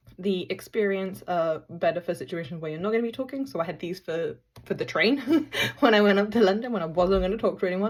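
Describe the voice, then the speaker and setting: Here a woman speaks very fast at a medium pitch with ordinary pitch variation. The recording is very clean, with a silent background. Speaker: product reviewer. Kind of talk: casual product review. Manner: loud; hesitant, many ums.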